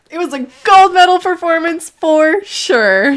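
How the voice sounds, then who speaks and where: Put on as a character voice, this extremely high, raspy voice moves at a fairly slow pace. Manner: creepy.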